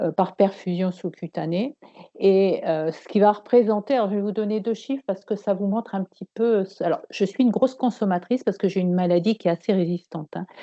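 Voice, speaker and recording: Talking at a fairly quick pace, a woman uses a medium pitch. Her pitch variation is ordinary. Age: 60s. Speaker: patient giving testimony. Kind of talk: testimony. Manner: halting.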